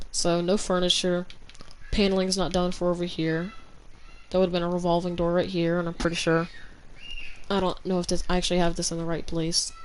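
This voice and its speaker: A woman's fairly low, monotone, flat voice with long, frequent pauses and audible room echo. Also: fairly quick pace. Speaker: gaming streamer. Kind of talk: live stream game tour. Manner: stutters when talking long; halting, hesitant.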